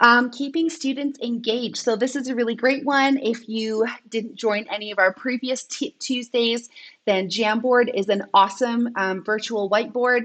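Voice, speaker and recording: A woman with a fairly high pitch talks at a moderate pace, using ordinary pitch variation. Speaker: edtech trainer. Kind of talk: live online training. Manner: animated. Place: home room. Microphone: webcam.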